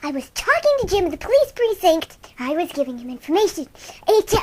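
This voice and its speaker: A woman's put-on character voice, squeaky and extremely high, at a fairly quick pace with very wide pitch swings and big swings in loudness. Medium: audio drama. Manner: defensive, dryly sarcastic.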